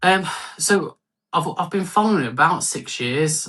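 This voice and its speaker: With a Birmingham accent, a man uses a bright, sharp tone, ordinary pitch variation and a fairly slow pace. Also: quiet background. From Birmingham, English Midlands. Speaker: fantasy football league manager. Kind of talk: casual interview chat. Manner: halting, many fillers.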